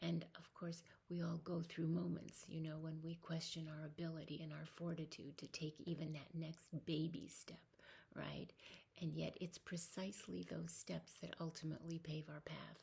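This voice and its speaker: Soft-spoken, a woman talks at a very deep, low pitch with a dark, mellow tone and vocal fry. Her moderate pace carries a monotone, flat intonation. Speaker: spiritual vlogger. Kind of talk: personal reflective monologue. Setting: home at night. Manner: hesitant, many fillers. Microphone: volume turned up a lot, may be quiet.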